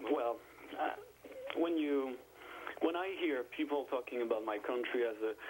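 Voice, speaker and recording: In a French accent, a man with a medium pitch and ordinary pitch variation talks at a moderate pace, taking long, frequent pauses over noticeable background noise. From France. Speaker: caller. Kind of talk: call-in discussion. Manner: halting.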